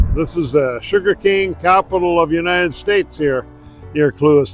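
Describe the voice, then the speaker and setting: Background music plays throughout. The words come at a moderate pace. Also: man. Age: 70s. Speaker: cycling vlogger. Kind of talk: casual video narration. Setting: outdoors.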